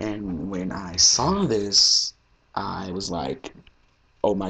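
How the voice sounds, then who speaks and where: A man's fairly low-pitched voice carries vocal fry. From US South. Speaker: fan video blogger. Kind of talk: casual vlog commentary. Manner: casual, rambling with fillers.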